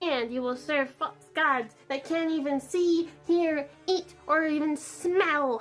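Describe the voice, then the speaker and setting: Over music in the background, a woman uses a put-on character voice at a fairly slow pace. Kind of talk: comic sketch. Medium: comedy sketch. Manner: preachy, wry.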